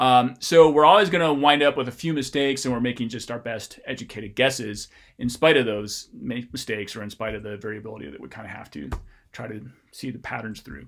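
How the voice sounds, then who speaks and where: A man's very fast speech with vocal fry and lively intonation. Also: medium pitch for a man, big swings in loudness. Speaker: linguistics professor. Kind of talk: recorded lecture. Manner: casual, many fillers.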